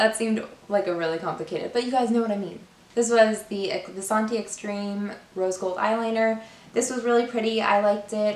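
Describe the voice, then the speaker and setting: Room echo is audible as a woman talks at a fairly quick pace. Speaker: beauty YouTuber. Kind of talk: casual product review to camera. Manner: casual, filler-heavy.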